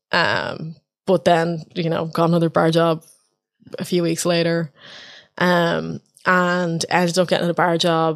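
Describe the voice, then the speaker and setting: A woman with an Irish accent speaks at a fairly low pitch. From Ireland. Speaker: open mic host and organiser. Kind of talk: casual chat.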